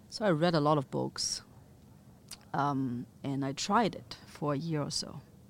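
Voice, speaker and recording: With a Chinese accent, a woman speaks in a very deep, low pitch at a fairly slow pace, pausing long and often. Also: ordinary pitch variation. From Chengdu, China. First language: Mandarin Chinese. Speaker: chef and restaurant owner. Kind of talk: interview.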